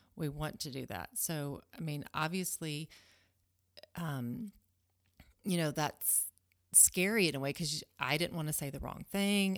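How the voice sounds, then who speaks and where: In a Southern US accent, a woman speaks with a very deep, low pitch and long, frequent pauses. The recording is very clean, the background silent. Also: ordinary pitch variation, fairly slow pace. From US South, Alabama. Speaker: homeschooling mother. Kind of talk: casual chat.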